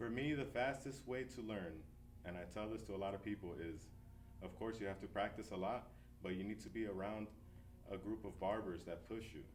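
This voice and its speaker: A man with an American accent talks at a fairly quick pace and a fairly low pitch. His pitch variation is ordinary, and audible room echo surrounds the voice. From New Jersey, US. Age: 30s. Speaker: barber and shop owner. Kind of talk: interview. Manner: casual, relaxed.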